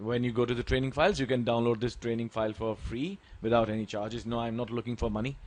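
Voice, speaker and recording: A man with an Indian accent speaks at a very fast pace and medium pitch, with fairly even intonation and hardly any pauses. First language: Hindi. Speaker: Excel tutor. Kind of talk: tutorial.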